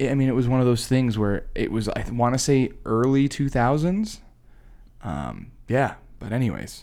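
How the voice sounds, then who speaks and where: A man with an American accent speaks at a moderate pace and medium pitch, with ordinary pitch variation. His tone is dark and mellow. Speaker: podcast co-host. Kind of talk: casual chat.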